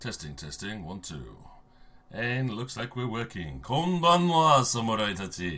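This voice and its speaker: A man speaks quietly, his pitch swinging very widely. There is audible room echo and noticeable background noise. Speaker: game master streamer. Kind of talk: livestream intro, casual. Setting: livestream. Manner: quiet, voice fading.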